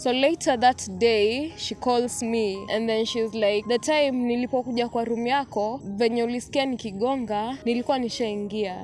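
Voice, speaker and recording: Music plays in the background as a woman speaks at a moderate pace. Her fairly high voice has fairly even intonation. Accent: Kenyan. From Kenya. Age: 20s. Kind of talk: personal story told to camera.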